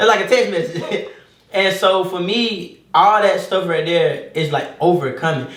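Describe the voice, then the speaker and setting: Audible room echo and noticeable background noise surround a man speaking with ordinary pitch variation. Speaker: barber and entrepreneur. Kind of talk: casual chat. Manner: fast.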